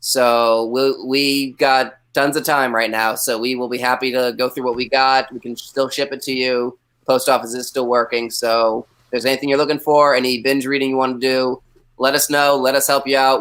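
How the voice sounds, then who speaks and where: Delivery comes at a moderate pace. The intonation is monotone and flat. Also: man. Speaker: comic shop staff, trivia guest host. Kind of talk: live online trivia game hosting. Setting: live video stream. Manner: loud.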